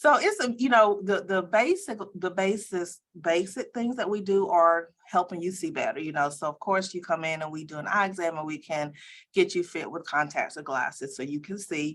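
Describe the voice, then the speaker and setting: Using a normal speaking voice, a woman with an American accent talks at a medium pitch and moderate pace, with ordinary pitch variation. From US South, Columbia, South Carolina. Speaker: optometry school dean. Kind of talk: interview.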